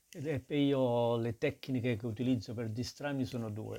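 At a fairly slow pace, a man speaks at medium pitch with a dark, mellow tone and ordinary pitch variation. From Naples, Italy. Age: 60s. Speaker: guest, amateur triathlete and runner. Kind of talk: interview, conversational.

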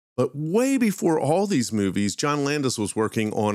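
A man with a Philadelphia accent speaks at a fairly quick pace with lively intonation on a very clean recording with a silent background. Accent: Philadelphia accent, noticeable. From Philadelphia, US. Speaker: podcast host, pop culture demonology. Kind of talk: casual storytelling podcast.

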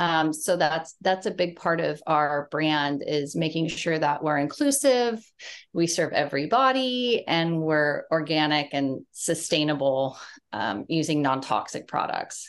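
A woman with a Californian accent speaks with a very deep, low pitch at a fairly slow pace. Her intonation is lively, and the background is quiet. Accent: Californian American. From US West Coast (San Diego, California). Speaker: beauty business founder. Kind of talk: interview.

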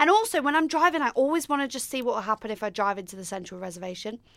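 Loud, very fast speech with a bright, sharp tone and very wide pitch swings. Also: woman. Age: 20s. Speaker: podcast co-host. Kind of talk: casual chat.

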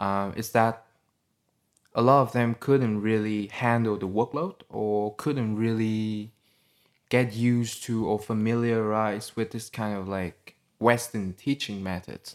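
With a Vietnamese accent, a man speaks at a medium pitch and a fairly slow pace. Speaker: podcast host. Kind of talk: casual chat.

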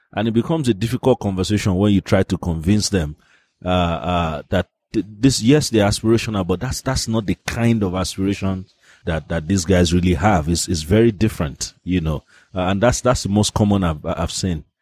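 A man with a very deep, low pitch and ordinary pitch variation speaks at a fairly quick pace, with a dry, close sound with no echo. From Nigeria. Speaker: advertising agency head and author. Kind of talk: interview. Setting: outdoors. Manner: halting, repeats words.

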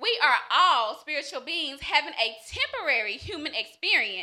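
A woman projects her voice at an extremely high pitch, swinging very widely in pitch at a moderate pace. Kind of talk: reading a prepared motivational speech. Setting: live stage with audience.

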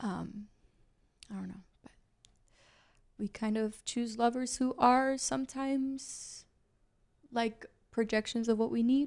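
Soft-spoken and with an American accent, a woman talks at a high pitch and a fairly slow pace, with fairly even intonation, big swings in loudness, and long, frequent pauses. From Chicago. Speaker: actor. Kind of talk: casual chat.

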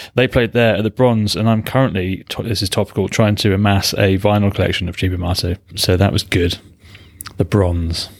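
A man with a British accent, talking at a fairly quick pace with fairly even intonation. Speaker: podcast co-host. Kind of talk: casual chat.

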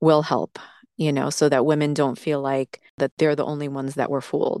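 A fairly quick woman's voice at a very deep, low pitch, dry and close with no echo, over a quiet background. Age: 30s. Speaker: guest telling her story of a toxic relationship. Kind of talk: personal storytelling, testimony.

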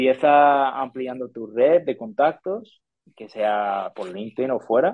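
Lively intonation marks this man's speech. His voice is pitched in the medium range. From US, Detroit. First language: English (speaking Spanish). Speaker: sports sponsorship professional. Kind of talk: interview. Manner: halting, with frequent repetitions.

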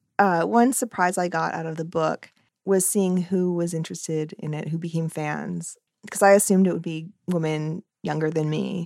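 With a fairly low pitch and fairly even intonation, this woman has a normal speaking voice. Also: moderate pace. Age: 40s. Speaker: cartoonist and author. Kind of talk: casual interview.

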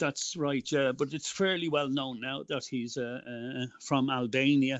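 The speaker has an Irish accent and talks at a moderate pace. The intonation stays fairly even. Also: man. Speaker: political activist. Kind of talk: interview.

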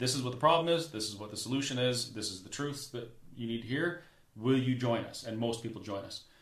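A man with a Canadian accent at a very fast pace and medium pitch, ordinary pitch variation, audible room echo, and noticeable background noise. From Canada (Alberta). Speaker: restaurant owner and activist. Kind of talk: casual interview. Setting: studio.

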